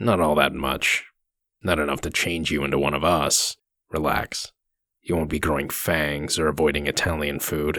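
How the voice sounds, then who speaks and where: In a very clean recording with a silent background, a man uses a raspy, very deep put-on character voice at a moderate pace. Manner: stern, threatening.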